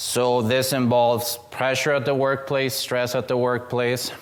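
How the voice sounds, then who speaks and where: The speaker talks at a moderate pace with a non-native accent. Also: man. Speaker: student presenter. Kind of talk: seminar presentation. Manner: casual, joking.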